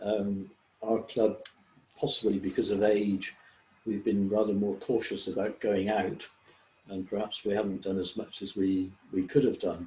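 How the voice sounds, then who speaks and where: A man's fairly low, somewhat breathy voice with a dark, mellow tone, an English accent, fairly even intonation, a moderate pace and long, frequent pauses. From England. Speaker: service club member. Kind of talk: online group discussion. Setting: video call.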